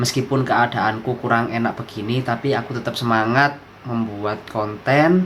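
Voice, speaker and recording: A man speaks at a medium pitch with ordinary pitch variation and a fairly slow pace over noticeable background noise. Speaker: science educator YouTuber. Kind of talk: educational tutorial. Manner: casual, chatty.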